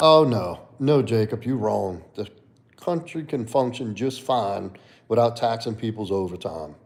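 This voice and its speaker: A man with a New Orleans accent talks at a fairly slow pace, his intonation lively. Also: medium pitch for a man. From US South, New Orleans. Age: 30s. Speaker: livestreamer and fitness coach. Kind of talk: casual chat. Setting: live stream.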